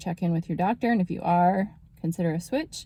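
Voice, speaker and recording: A woman's somewhat breathy voice, dark and mellow in tone, with ordinary pitch variation. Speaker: naturopathic doctor. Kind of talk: casual health talk video.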